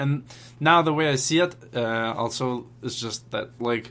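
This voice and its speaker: Pitched at a medium level, a man's bright, sharp voice moves with ordinary pitch variation. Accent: non-native. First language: not English. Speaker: language learning vlogger. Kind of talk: casual vlog update. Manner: hesitant, many filler words.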